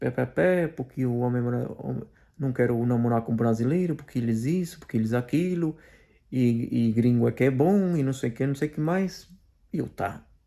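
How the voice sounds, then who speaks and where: The tone is dark and mellow, with ordinary pitch variation. Delivery comes at a moderate pace. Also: man. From Portugal. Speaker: commentator / video blogger. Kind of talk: personal testimony monologue. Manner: halting, many fillers and repetitions.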